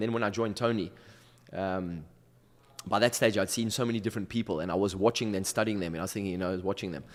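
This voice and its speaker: This man talks. His pace is very fast. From South Africa, Durban. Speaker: motivational speaker and coach. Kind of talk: podcast interview, personal story. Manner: halting, many fillers.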